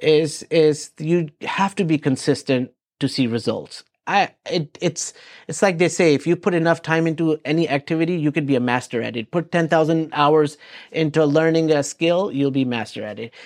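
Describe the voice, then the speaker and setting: A man with a non-native accent and a fairly high pitch, ordinary pitch variation, a quiet background and a dry, close sound with no echo. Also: moderate pace. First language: not English. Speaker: real estate agent. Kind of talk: casual interview. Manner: hesitant, many fillers and repeats.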